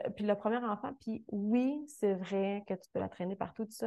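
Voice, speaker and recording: A woman with a Quebec accent talks at a moderate pace with fairly even intonation. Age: 30s. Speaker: fitness coach. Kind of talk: interview.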